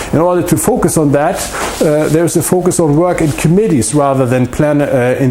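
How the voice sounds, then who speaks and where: A man speaks with a German accent and lively intonation. Noticeable background noise and audible room echo fill the recording. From Germany. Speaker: political science professor. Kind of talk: lecture. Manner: halting, many fillers.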